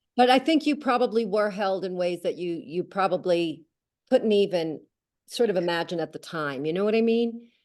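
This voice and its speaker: Moderate pace and lively intonation with an American accent, over a quiet background. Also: woman, medium pitch for a woman. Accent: New York accent, calmed down. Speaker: author. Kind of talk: casual chat. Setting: video call.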